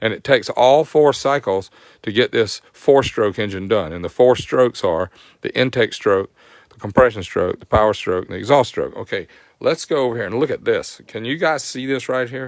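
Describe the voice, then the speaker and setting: A man's medium-pitched voice with a Southern US accent, lively intonation, big swings in loudness and a moderate pace, on a very clean, dry, close recording with no echo and a silent background. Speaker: motorcycle performance tech host. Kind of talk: live stream tech tutorial. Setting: live stream.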